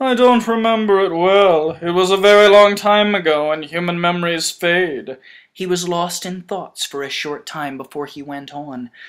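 With hardly any pauses, a woman with a fairly low pitch talks at a moderate pace, her loudness swinging widely while her pitch varies in an ordinary way. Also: very clean recording, silent background. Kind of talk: audiobook reading. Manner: soft, wistful, dramatic delivery for the character's lines.

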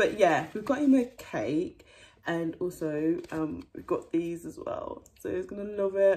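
A woman does a put-on character voice at a fairly slow pace. It sounds raspy, at a medium pitch. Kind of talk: casual vlog chat. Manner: whispering.

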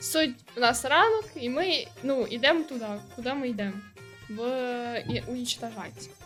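With music in the background, a woman speaks slowly, leaving long, frequent pauses. Her pitch is high, with ordinary variation. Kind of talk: casual gaming commentary. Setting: low-quality microphone.

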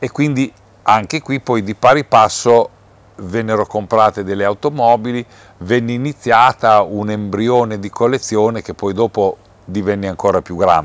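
At a moderate pace, a man talks in a fairly low pitch with ordinary pitch variation and a dry sound with no echo. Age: 60s. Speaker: museum president, nursery businessman. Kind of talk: interview. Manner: halting, with many fillers. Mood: calm. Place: hall.

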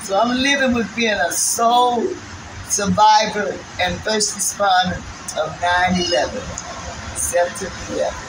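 Speaking with an American accent at a fairly slow pace, the voice shows ordinary pitch variation and long, frequent pauses amid noticeable background noise. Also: woman, fairly high pitch for a woman. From New York. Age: 70s. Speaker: 9/11 survivor. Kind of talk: interview answer. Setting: outdoors. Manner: emotional. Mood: earnest, emotional recollection. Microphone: phone near.

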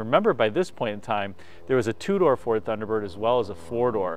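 Here a man's pitch swings very widely. The sound is dry, with no echo. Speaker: host. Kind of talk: car review presentation. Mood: enthusiastic, warm. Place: open country.

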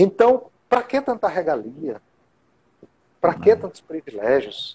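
The man's tone is dark and mellow, his pace fairly slow. His pitch rises and falls very widely. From Teresina and Caxias, Northeast Brazil; Northeast Brazil. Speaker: local political candidate, communicator; candidate. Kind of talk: interview. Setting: online live stream. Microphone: video call.

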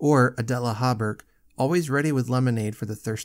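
Ordinary pitch variation across plain reading aloud

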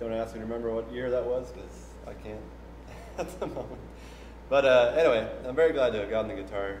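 Audible room echo and light background noise around a man's moderately paced speech. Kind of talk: casual spoken story between songs. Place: hall.

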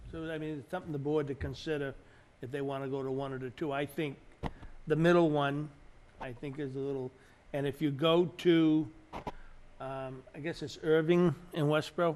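Speaking at a moderate pace, a man with a fairly high pitch and a slightly mellow tone keeps his intonation fairly even.

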